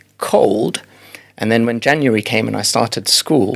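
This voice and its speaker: A man speaks over noticeable background noise. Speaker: former pharmacist and lawyer, health tech founder. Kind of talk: podcast interview. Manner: halting, many fillers and repetitions.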